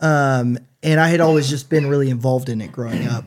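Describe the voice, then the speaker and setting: In an American accent, a man with a plain, everyday voice speaks at a fairly quick pace, with fairly high pitch and fairly even intonation. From US Pacific Northwest, Washington State. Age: 30s. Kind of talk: casual chat. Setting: studio.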